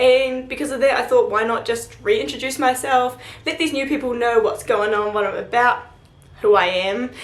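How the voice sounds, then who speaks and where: With a New Zealand accent, a woman speaks at a high pitch amid noticeable background noise and audible room echo. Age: 20s. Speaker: student vlogger. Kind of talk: casual vlog Q&A.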